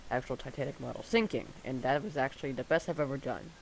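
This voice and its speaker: A quiet man at a fairly high pitch, talking at a fairly quick pace. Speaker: gaming video creator. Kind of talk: gameplay commentary. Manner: halting, many fillers.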